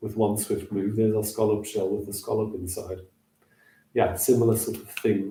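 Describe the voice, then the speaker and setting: Somewhat breathy, a man speaks at a fairly low pitch with a dark, mellow tone and flat, monotone intonation. His pace is moderate while his loudness swings widely. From Southern Africa (Namibia, South Africa); born northeast England. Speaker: hand shadow performer. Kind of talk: casual livestream chat with demonstrations.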